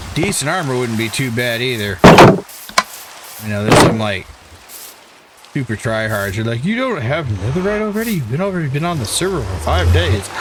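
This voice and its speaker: Speaking at a fairly quick pace with long, frequent pauses and very wide pitch swings, a man with a New England accent comes through audible room echo and noticeable background noise. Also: medium pitch for a man. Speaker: gaming YouTuber. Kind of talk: gameplay commentary. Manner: casual, self-talking.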